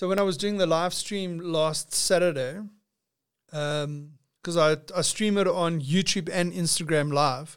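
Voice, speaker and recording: At a fairly slow pace, a man with a high voice speaks with fairly even intonation. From South Africa, Witbank. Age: 40s. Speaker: podcast host. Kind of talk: casual chat.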